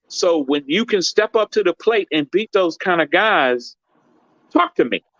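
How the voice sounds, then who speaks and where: Bright and sharp in tone, a man speaks in an animated way at a moderate pace with ordinary pitch variation, the sound dry and close with no echo. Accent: American. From US inner city. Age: 60s. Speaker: boxer's father and boxing gym owner. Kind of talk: interview.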